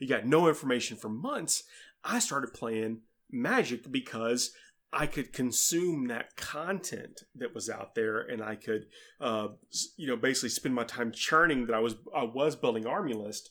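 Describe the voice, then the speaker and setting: A plain, everyday voice: a man at medium pitch and moderate pace, ordinary pitch variation, on a very clean recording with a silent background. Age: middle-aged. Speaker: podcaster, tabletop gamer. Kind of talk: casual chat.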